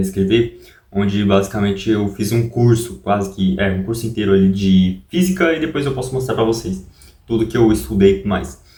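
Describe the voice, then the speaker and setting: A man speaks at a moderate pace in a fairly low, somewhat breathy voice with lively intonation. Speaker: YouTuber. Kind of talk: casual vlog talk. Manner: soft-spoken; halting.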